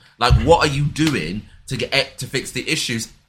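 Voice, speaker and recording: Lively intonation and vocal fry mark this man's medium-pitched voice, which has a bright, sharp tone and moves at a moderate pace. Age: 20s. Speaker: podcast co-host. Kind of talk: casual chat.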